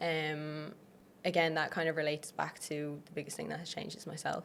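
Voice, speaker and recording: A woman in an Irish accent, fairly low in pitch and fairly quick in pace. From Ireland. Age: 20s. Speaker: online fitness coach. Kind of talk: podcast interview. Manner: casual, uses many fillers.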